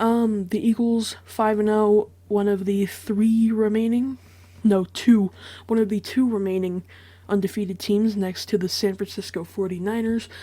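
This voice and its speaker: Quiet and fairly slow, a woman speaks with monotone, flat intonation at a fairly high pitch. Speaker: sports prediction youtuber. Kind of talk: solo commentary monologue. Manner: hesitant, many fillers.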